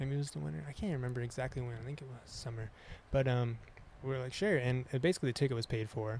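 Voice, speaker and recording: Very fast, somewhat breathy speech from a man with lively intonation. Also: medium pitch for a man. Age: 30s. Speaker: musician and outdoorsman. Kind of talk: casual chat.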